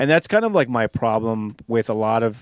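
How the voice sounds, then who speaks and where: A man with a normal speaking voice talks at a fairly quick pace and medium pitch. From USA, Mexican-American family. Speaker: military veteran and political activist. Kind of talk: casual podcast discussion.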